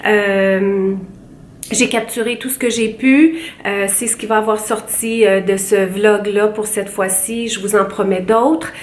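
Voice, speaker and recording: Noticeable background noise and audible room echo surround a woman speaking at a very slow pace. Her fairly high voice keeps a fairly even intonation. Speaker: beauty vlogger. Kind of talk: casual vlog talk to camera. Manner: hesitant, many fillers.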